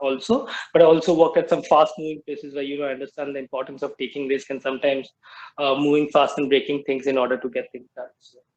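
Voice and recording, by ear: A man speaks fast at medium pitch. His pitch barely moves.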